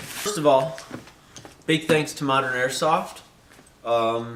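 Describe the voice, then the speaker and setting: A man talks at a fairly slow pace and a medium pitch, with ordinary pitch variation. Noticeable background noise and audible room echo fill the recording. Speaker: airsoft YouTuber. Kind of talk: unboxing video.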